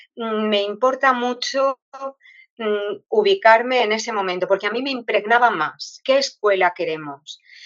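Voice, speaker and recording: This woman's voice is fairly high, and its pitch moves in an ordinary way. She keeps to a fairly slow pace. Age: 60s. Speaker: retired teacher. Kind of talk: interview. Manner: hesitant, with many fillers.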